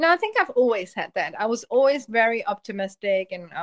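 A woman with a German accent speaks at a fairly quick pace, the sound dry and close with no echo. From Germany, Polish family. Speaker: hypnotherapist. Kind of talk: casual interview. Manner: fast, run-on talker.

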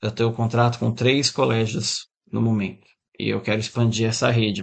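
A male voice at medium pitch, a normal speaking voice at a moderate pace. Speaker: guitar teacher and musician. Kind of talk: interview.

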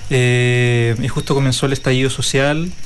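With audible room echo and noticeable background noise, a man speaks at a medium pitch in a monotone, flat intonation. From Chile, Araucanía region. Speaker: folk dance teacher. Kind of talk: interview.

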